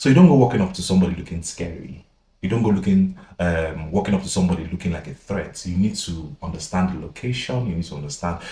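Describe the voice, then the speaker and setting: Speaking at a very fast pace, a man with a very deep, low pitch and a dark, mellow tone sounds somewhat breathy, with ordinary pitch variation and big swings in loudness. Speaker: podcast co-host. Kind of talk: casual chat.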